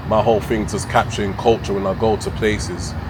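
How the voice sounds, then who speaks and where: A man's fairly low voice in a London accent at a fairly quick pace, with noticeable background noise and audible room echo. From London, England. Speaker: travel vlogger. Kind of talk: casual interview. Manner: halting.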